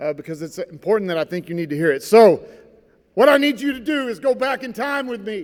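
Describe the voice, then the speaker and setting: Talking at a very fast pace, a man uses an animated tone, a high pitch, very wide pitch swings and big swings in loudness. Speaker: Navy veteran, keynote speaker. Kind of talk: speech to school assembly. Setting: school gymnasium with audience.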